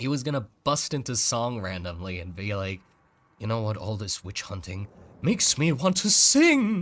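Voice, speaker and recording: The pitch swings very widely. The pace stays moderate. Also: man, medium pitch for a man. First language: German. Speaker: artist streaming. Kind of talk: casual livestream chat. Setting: livestream. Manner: halting.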